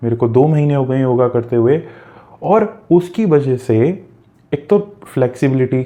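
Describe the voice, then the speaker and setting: A man speaks in an ordinary speaking voice at a medium pitch. His pitch varies in an ordinary way. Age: 20s. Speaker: self-help coach. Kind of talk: motivational talk.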